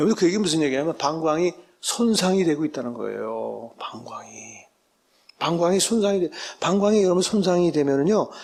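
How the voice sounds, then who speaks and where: Lively intonation marks this man's high-pitched voice. He talks at a fairly quick pace. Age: 60s. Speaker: medical professor. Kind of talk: lecture. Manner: animated, addresses audience often.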